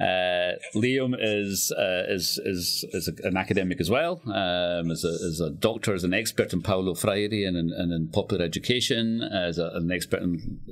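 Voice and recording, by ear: Here a man talks in a West of Scotland accent at a moderate pace. His voice sits low, with ordinary pitch variation.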